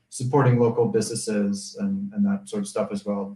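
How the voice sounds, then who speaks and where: Speaking fairly quickly at a medium pitch, a man uses lively intonation. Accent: American. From United States. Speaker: expat living in Mexico. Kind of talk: live stream discussion. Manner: halting, many fillers.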